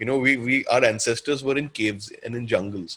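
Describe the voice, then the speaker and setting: Somewhat breathy and very fast, a man talks at a medium pitch. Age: 30s. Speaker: counsellor. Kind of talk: webinar Q&A talk. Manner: animated.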